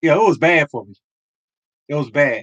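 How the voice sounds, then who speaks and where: A man projects a raised voice with a bright, sharp tone. He keeps a moderate pace. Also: dry, close sound with no echo. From Philadelphia, US. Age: 50s. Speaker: lottery show host. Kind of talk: casual livestream chat.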